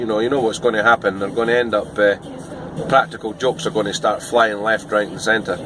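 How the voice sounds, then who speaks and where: Over noticeable background noise, a man with a Scottish accent speaks at a moderate pace. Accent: Scottish, toned down for viewers. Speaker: van delivery driver and vlogger. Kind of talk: casual vlog monologue. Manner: hesitant, many fillers.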